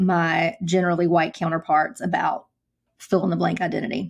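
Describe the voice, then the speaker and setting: A woman speaks at a moderate pace in an ordinary speaking voice, pitched fairly low. Her intonation stays fairly even over a quiet background. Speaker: podcast host and counselor. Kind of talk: interview.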